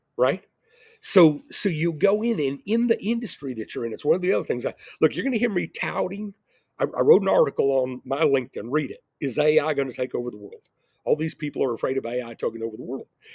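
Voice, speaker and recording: A man's very fast, fairly high voice with very wide pitch swings, dry and close with no echo, on a very clean recording with a silent background. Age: 60s. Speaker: entrepreneur and video blogger. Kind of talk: casual monologue. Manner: rambling, repeats words.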